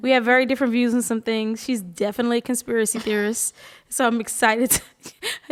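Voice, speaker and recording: Over noticeable background noise, a woman talks fairly quickly in a high-pitched voice. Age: 30s. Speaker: podcast co-host. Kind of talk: casual chat.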